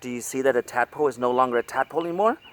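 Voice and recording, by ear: The voice is reading aloud in a natural voice with ordinary pitch variation.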